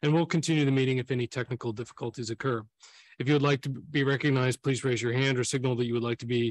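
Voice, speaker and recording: A man talks at a very fast pace in a dry recording with no echo. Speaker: council chair. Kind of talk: formal meeting opening. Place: hall. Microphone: podium.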